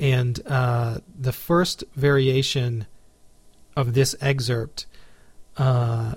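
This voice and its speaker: A man speaks in an American accent, his voice somewhat breathy and his intonation fairly even. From Texas, Houston. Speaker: podcast host and classical guitarist. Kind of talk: casual interview; scripted show narration.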